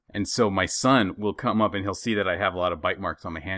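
A man talks at a very fast pace. His pitch is very deep and low, and his tone is bright and sharp. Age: 30s. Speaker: podcast co-host. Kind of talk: casual chat.

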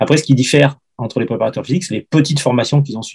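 A somewhat breathy voice with a dark, mellow tone, fairly even intonation and a fairly quick pace. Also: man. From France, Ardèche. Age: 50s. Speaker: football fitness coach. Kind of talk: interview.

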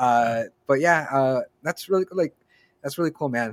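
Recorded dry and close with no echo, a man speaks at a medium pitch with an American accent. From Southern California, Norwalk. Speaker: podcast host. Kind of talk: casual interview.

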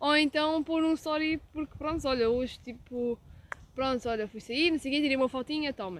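Close and dry with no echo, a woman speaks at a high pitch. Her pace is moderate, with ordinary pitch variation. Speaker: podcast co-host. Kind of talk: casual chat.

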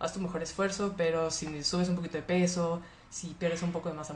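There is audible room echo around the speaker. She is a woman with a fairly low pitch. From Monterrey, Mexico. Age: 20s. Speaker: livestreamer. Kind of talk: casual chat. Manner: animated.

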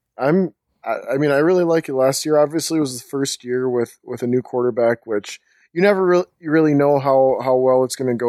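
With an American accent and a plain, everyday voice, a man is heard in a dry, close sound with no echo on a very clean recording with a silent background. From Minnesota. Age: 30s. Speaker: sports writer and blogger. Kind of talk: casual chat.

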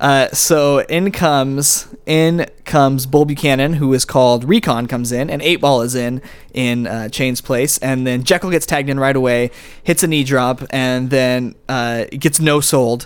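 In an ordinary speaking voice, a man talks at a fairly slow pace with a medium pitch and fairly even intonation. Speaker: wrestling podcast host. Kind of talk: casual chat.

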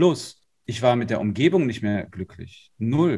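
This man's voice is somewhat breathy. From northern Germany, Lower Saxony. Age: 30s. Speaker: life and business coach. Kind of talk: interview.

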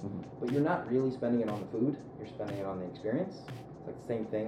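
A man with an American accent, medium pitch and a very fast pace, with audible room echo. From US East Coast, mostly Philadelphia. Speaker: app startup founder. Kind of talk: interview conversation.

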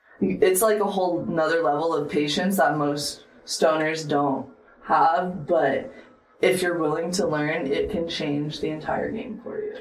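In a room with audible echo and noticeable background noise, a woman speaks fairly slowly, fairly low in pitch with ordinary variation. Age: 20s. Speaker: professional joint roller. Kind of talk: casual chat.

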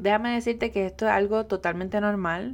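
On a very clean recording with a silent background, a woman talks at a fairly quick pace with ordinary pitch variation. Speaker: podcast host and digital business coach. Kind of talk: solo podcast monologue.

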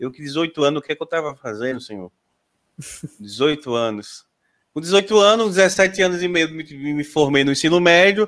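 At a moderate pace, a man with a fairly high pitch speaks in a plain, everyday voice on a very clean recording with a silent background. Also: lively intonation. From Sergipe, Brazil. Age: 30s. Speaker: podcast host. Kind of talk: casual chat. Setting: live stream.

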